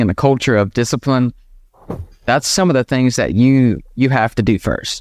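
With an American accent, a man talks at a fairly quick pace in an ordinary speaking voice, his pitch varying in an ordinary way over a dry, close sound with no echo. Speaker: business founder. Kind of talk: interview conversation. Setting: video call.

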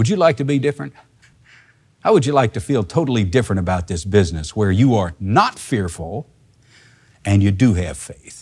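A somewhat breathy man with fairly low pitch talks at a fairly quick pace with lively intonation and long, frequent pauses. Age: 50s. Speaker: Bible teacher. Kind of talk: sermon.

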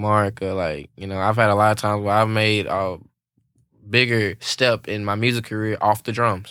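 A man's medium-pitched, monotone, flat voice with a Louisiana accent at a moderate pace, in a very clean recording with a silent background. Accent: US Southern (Louisiana). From Louisiana, Alexandria. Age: 20s. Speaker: drummer. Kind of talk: casual chat. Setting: studio.

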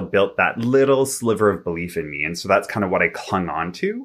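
A man speaks at a moderate pace with a Canadian accent. The recording is very clean, with a silent background. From Vancouver, Canada. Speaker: relationship and personal development coach. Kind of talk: interview.

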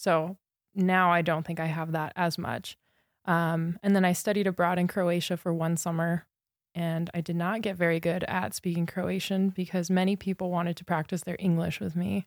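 A woman with an American accent speaks in a fairly low pitch at a moderate pace. The recording is very clean with a silent background and a dry, close sound with no echo. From Southern California. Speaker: graduate student, ecologist. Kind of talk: interview. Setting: studio.

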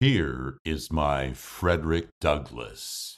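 In a very clean recording with a silent background, a man speaks with vocal fry. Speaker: voice actor podcast host. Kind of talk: solo podcast monologue about voice work. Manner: animated, does accent impressions.

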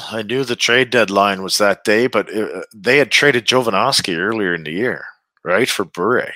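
A man with a Canadian Prairies accent speaks at a moderate pace in a medium pitch, his bright, sharp tone showing ordinary pitch variation in a dry, close recording that is very clean, with a silent background. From Saskatchewan, Canada. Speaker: retired hockey player. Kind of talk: interview.

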